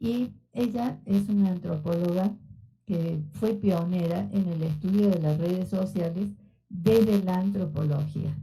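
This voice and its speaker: At a fairly slow pace, a woman speaks with a medium pitch and a dark, mellow tone that is somewhat breathy. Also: ordinary pitch variation. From Argentina. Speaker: sociology researcher. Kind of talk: lecture. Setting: auditorium. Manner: conversational with filler words.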